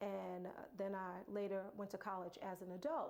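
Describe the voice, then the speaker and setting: A woman in a New York accent, medium in pitch, at a fairly slow pace. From Brooklyn, New York. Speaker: motivational speaker. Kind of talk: personal story, motivational talk. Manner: halting.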